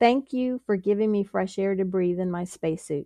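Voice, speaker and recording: A woman talks at a moderate pace in a dark, mellow tone. The sound is dry and close with no echo, and the background is quiet. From US, Pittsburgh, Pennsylvania. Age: 60s. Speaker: engineer and ministry volunteer. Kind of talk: interview testimony.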